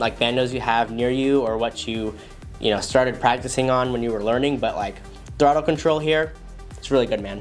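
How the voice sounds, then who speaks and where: A man with fairly even intonation over faint background music. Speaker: FPV drone channel host. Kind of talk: commentary. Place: studio.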